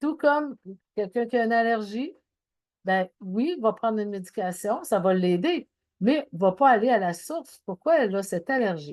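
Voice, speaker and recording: A woman's fairly high-pitched voice with very wide pitch swings at a moderate pace. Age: 60s. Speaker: anxiety and wellness speaker. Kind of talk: talk.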